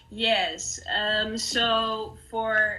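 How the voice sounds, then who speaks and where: There is audible room echo and noticeable background noise. Through it, a woman speaks in a Dutch accent. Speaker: artist. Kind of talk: panel interview. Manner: halting.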